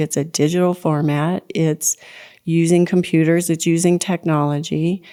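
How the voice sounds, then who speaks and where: On a very clean recording with a silent background, a woman's fairly low voice carries a dark, mellow tone and fairly even intonation. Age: 60s. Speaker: podcast host. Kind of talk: monologue podcast. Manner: conversational, with fillers.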